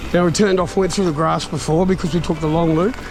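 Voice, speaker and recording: With noticeable background noise and audible room echo, a man with an Australian accent speaks at a fairly quick pace in an enthusiastic tone and a high pitch. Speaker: mountain bike vlogger. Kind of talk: ride-along vlog commentary. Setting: outdoors on mountain bike trail. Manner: casual, enthusiastic.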